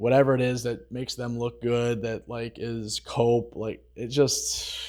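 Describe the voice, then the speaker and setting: With a monotone, flat intonation, a man of medium pitch speaks at a fairly slow pace. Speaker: social commentary vlogger. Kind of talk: casual commentary monologue.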